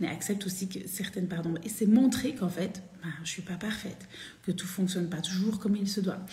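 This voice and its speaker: Audible room echo surrounds a woman's voice. Her pitch varies in an ordinary way. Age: 40s. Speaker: women's spiritual coach. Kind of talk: live stream talk. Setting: live video stream. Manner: animated.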